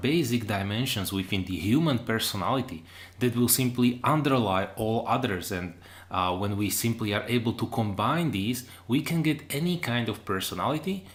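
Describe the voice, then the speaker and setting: With a non-native accent, a man of medium pitch speaks at a moderate pace and very wide pitch swings. Audible room echo is present. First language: not English. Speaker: online lecturer. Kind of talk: lecture. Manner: hesitant, with fillers.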